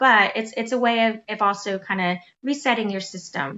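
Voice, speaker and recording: A woman speaks with a fairly high pitch and lively intonation. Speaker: podcast co-host. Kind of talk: casual chat.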